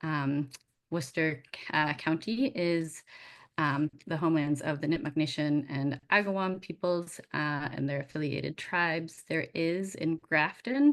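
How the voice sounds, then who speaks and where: A woman speaks at a fairly slow pace with an American accent and a very deep, low pitch. Her pitch varies normally, and the background is quiet. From Massachusetts. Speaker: museum director. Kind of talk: presentation.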